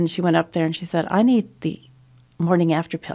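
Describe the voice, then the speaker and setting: A woman speaks with a fairly low pitch and a dark, mellow tone. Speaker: radio guest. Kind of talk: interview answer, storytelling. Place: studio. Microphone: studio mic.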